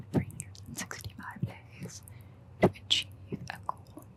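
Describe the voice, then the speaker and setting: Very slowly, a woman whispers while noticeable background noise carries on. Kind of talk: ASMR whispered talk to camera. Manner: whispered, soft-spoken.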